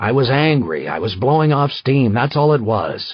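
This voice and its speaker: Putting on a character voice, a man speaks at medium pitch with ordinary pitch variation and a moderate pace. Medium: read story. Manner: curt, harsh.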